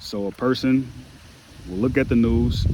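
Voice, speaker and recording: Ordinary pitch variation in a man's speech, set against noticeable background noise. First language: not English. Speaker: online commentator. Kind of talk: book reading with commentary; reading aloud.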